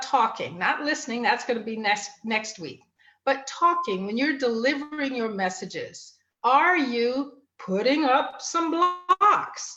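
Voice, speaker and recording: With lively intonation, a raised, projected voice comes through in a bright, sharp tone. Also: woman. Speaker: family and life coach, show host. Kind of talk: live online talk show, solo coaching talk. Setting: live online broadcast.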